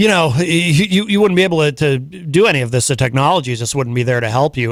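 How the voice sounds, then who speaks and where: It moves along fairly quickly. This is a normal speaking voice. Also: man. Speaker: radio host. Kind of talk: radio interview questions.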